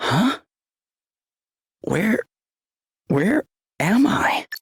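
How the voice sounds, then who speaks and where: A raspy put-on character voice comes across with a dry, close sound and no echo. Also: man, high pitch for a man. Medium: video game. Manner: casual, hesitant.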